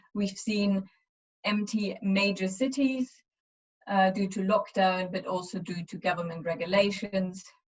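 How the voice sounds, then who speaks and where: Fairly slow, somewhat breathy speech from a woman with a German accent, medium pitch and fairly even intonation. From Eastern Germany. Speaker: university lecturer. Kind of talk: webinar presentation. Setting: online webinar. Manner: hesitant, many fillers.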